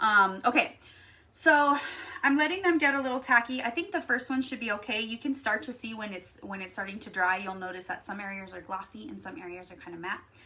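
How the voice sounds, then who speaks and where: A woman's plain, everyday voice with an American accent, fairly high in pitch, lively in intonation, fairly quick in pace, with big swings in loudness. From Texas. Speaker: craft YouTuber. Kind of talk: live stream craft tutorial. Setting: live stream. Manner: casual, chatty.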